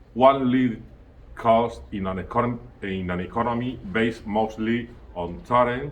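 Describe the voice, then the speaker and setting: Speaking very slowly at a medium pitch with ordinary pitch variation, a man is heard with audible room echo. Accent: Spanish. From Spain. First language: Spanish. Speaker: student giving a presentation. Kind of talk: prepared presentation. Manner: halting, self-correcting.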